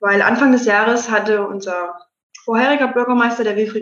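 A woman speaks at a moderate pace in a normal speaking voice. Her pitch is fairly high, with ordinary variation. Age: 20s. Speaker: mayor. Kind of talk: interview.

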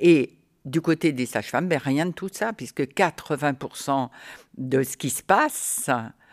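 A woman's very deep, low voice with lively intonation at a very slow pace, dry and close with no echo in a very clean recording with a silent background. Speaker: retired midwife. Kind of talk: interview. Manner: animated.

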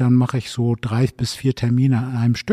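The sound is dry and close with no echo. A man speaks fairly quickly at a medium pitch in a dark, mellow tone. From northern Germany, Bremen. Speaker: district mayor. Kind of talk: interview. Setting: town hall library.

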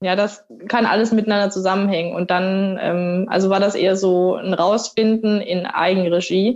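A woman's medium-pitched voice, monotone and flat, at very even loudness. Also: moderate pace. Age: 30s. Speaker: triathlete. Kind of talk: casual chat.

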